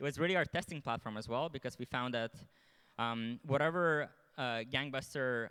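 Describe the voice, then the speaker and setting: At a very fast pace, a man talks with a bright, sharp tone at medium pitch and ordinary pitch variation. The sound is dry and close with no echo. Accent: Lithuanian. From Lithuania. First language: Lithuanian. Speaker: marketing executive. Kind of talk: conference panel talk.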